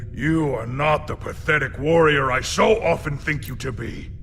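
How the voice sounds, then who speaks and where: A man uses a put-on character voice at a fairly high pitch. He keeps a moderate pace over clear background noise. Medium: video game. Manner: formal, stiff phrasing.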